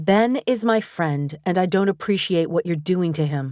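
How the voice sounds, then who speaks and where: A put-on character voice moves at a moderate pace with ordinary pitch variation. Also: woman, fairly low pitch for a woman. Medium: read story.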